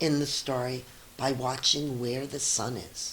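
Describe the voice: At a slow pace, a woman speaks amid audible room echo.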